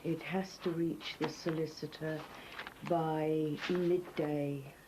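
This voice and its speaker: Amid noticeable background noise, a woman speaks very slowly at a very deep, low pitch, her intonation monotone and flat. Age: 70s. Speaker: charity founder. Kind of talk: dictation.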